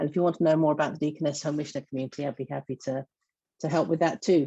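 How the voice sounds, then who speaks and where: In an English accent, a woman speaks at a very deep, low pitch with fairly even intonation. The sound is dry and close, with no echo. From southeast England. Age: 50s. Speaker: church organizer and lay minister. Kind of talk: panel testimony. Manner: halting, many fillers.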